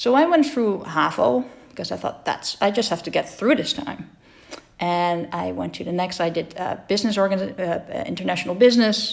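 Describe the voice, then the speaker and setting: With a Dutch accent, a woman speaks at a moderate pace and medium pitch. Her intonation is lively. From Netherlands. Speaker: entrepreneur and dyslexia advocate. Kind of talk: personal talk. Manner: halting.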